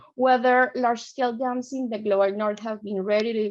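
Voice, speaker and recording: At a moderate pace, a woman with a Colombian accent speaks in a fairly high pitch. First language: Spanish. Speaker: PhD student presenter. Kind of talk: conference presentation.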